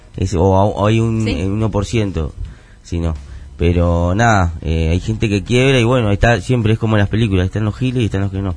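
Music plays in the background. A man talks in a fairly low pitch. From Argentina, Buenos Aires area (La Matanza). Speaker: rapper. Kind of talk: interview. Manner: halting, many fillers.

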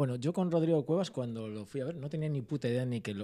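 Speaking at a very fast pace, a man uses a dark, mellow tone with very wide pitch swings. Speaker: podcast host. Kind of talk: casual chat.

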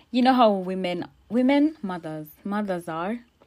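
A woman's lively intonation on a very clean recording with a silent background. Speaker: podcast host. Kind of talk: casual solo podcast chat. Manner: quiet, trying to keep voice down.

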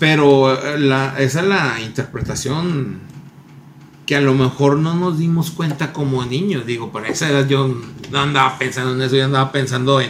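Amid noticeable background noise and audible room echo, a man with a Mexican accent talks at a medium pitch and a fairly slow pace, with fairly even intonation. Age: 30s. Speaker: podcast co-host. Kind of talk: casual chat.

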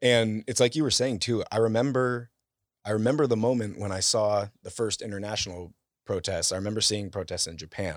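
A man speaks at a fairly quick pace with fairly low pitch. His pitch varies in an ordinary way on a very clean recording with a silent background. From US West Coast (Bay Area). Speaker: content creator, photographer. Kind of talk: casual interview chat. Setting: in-person studio recording.

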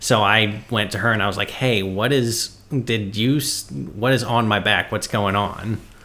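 A man with a fairly low pitch speaks in an unremarkable speaking voice, with fairly even intonation and very even loudness. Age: 30s. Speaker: ghost hunter. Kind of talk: casual chat.

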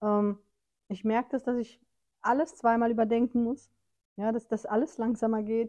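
A woman's fairly high voice, dark and mellow in tone, with fairly even intonation, a moderate pace, and long, frequent pauses. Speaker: podcast co-host. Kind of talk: casual chat. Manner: laughs often.

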